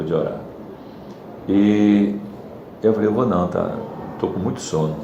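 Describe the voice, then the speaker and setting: Noticeable background noise and audible room echo surround a man speaking at a fairly low pitch with ordinary pitch variation. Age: 60s. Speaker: church class member. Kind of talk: testimony. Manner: halting.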